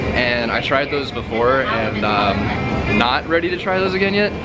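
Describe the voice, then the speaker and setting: Very wide pitch swings run through a man's speech, with audible room echo and music in the background. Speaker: vlogger. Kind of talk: casual vlog narration.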